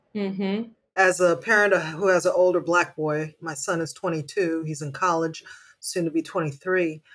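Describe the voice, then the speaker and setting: The pace is fairly slow, with fairly even intonation, in an ordinary speaking voice. The recording is very clean, with a silent background. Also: woman, fairly low pitch for a woman. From Haiti, raised in the United States. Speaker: mother, community volunteer. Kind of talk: casual chat.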